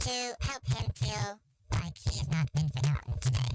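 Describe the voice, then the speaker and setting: Someone does a put-on character voice at a low-to-middle pitch. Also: moderate pace. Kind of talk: fantasy roleplay speech. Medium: actual play. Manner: gracious, formal, long-winded.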